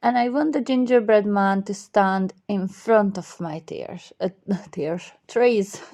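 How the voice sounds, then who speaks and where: Using a put-on character voice, a woman mumbles at a fairly slow pace in a medium pitch, with big swings in loudness. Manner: mumbling, slips of the tongue.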